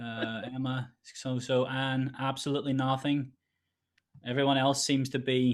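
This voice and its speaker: A man speaks at a fairly slow pace in a monotone, flat intonation. The background is quiet. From Northern Ireland, Derry; Northern Ireland. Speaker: composer and producer; online session host. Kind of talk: online tutorial. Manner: hesitant, many fillers. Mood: friendly, slightly hesitant. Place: home room. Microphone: webcam.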